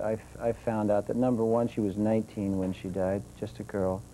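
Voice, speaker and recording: Speaking at a moderate pace, a man uses a medium-pitched voice with a dark, mellow tone. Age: 50s. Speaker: author. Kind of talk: TV interview. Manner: halting.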